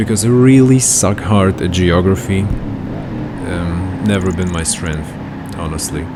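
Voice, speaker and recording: A man's very deep, low voice at a very slow pace, with audible room echo and noticeable background noise. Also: ordinary pitch variation. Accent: Russian. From Germany. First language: Russian. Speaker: gaming youtuber. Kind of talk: gameplay commentary. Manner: halting.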